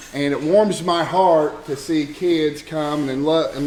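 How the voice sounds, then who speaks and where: A man with an American accent speaks at a fairly high pitch with fairly even intonation. Audible room echo and noticeable background noise fill the recording. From Oklahoma. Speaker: archery club president. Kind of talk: banquet speech. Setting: banquet hall with audience. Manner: halting, many fillers and restarts.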